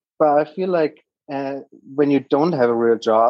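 A man speaks in a German accent with ordinary pitch variation. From Germany. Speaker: startup founder and investor. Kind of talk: casual interview.

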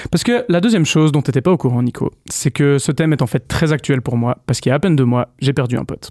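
Very fast, lively intonation from a man with a fairly high pitch and a dark, mellow tone, the sound dry and close with no echo. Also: hardly any pauses. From Switzerland, Vaud. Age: 30s. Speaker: guest columnist. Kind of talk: casual chat. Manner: halting.

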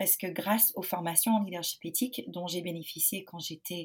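This woman's medium-pitched voice is somewhat breathy, with ordinary pitch variation. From United States. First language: English (speaking French). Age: 30s. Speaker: parenting coach and company founder. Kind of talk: podcast interview. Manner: calm, serene; hesitant, with frequent fillers.

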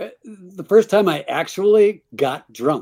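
A man speaks with a dark, mellow tone. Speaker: musician and memoirist. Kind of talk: interview. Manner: halting, self-correcting.

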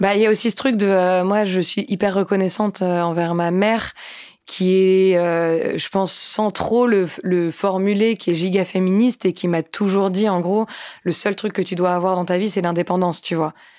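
A woman speaks at a moderate pace in an unremarkable speaking voice. Her medium pitch follows fairly even intonation, and her loudness stays very even. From France, Nantes. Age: 20s. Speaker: musician. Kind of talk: casual chat.

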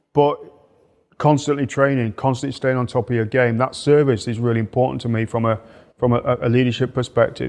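A man with an English accent talks at a fairly quick pace and a medium pitch. His intonation is fairly even, and the background is quiet. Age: 50s. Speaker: polar explorer and leadership mentor. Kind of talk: interview. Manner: repetitive hesitant starts.

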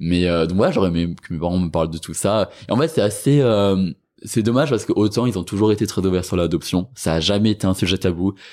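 With a normal speaking voice, a man talks at a fairly quick pace and a fairly low pitch, showing ordinary pitch variation on a very clean recording with a silent background. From France, Rennes area. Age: 20s. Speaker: sociology student and anti-racism activist. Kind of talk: interview.

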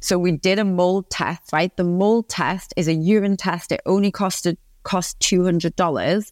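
With a Geordie accent, a woman speaks at medium pitch and a moderate pace, hardly pausing, at very even loudness, in a dry, close sound with no echo on a very clean recording with a silent background. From northeast England, Newcastle upon Tyne. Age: 30s. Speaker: positive psychologist and business coach. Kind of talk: podcast interview. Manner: animated.

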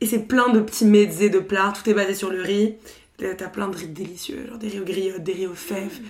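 With an unremarkable speaking voice, a woman at medium pitch talks at a moderate pace with fairly even intonation and big swings in loudness. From Paris, France. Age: 20s. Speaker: podcaster. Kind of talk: casual chat.

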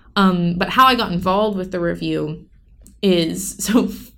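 A woman speaks at a medium pitch, with vocal fry in her voice. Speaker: college student and poet. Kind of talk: casual interview. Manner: halting.

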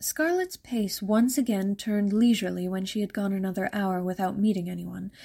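The voice has a dark, mellow tone, somewhat breathy, with ordinary pitch variation at a fairly quick pace. The recording is very clean, with a silent background. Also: woman. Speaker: audiobook narrator. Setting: podcast, solo recording. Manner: soft-spoken.

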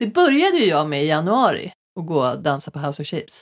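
A woman with an unremarkable speaking voice talks at a fairly quick pace and a fairly low pitch, with lively intonation. The recording is very clean, dry and close with no echo and a silent background. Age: 40s. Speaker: podcast host, comedian. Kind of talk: casual chat.

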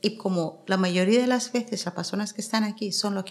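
In a normal speaking voice, a woman talks at a fairly quick pace with fairly even intonation. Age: 50s. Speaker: activist against female genital mutilation.

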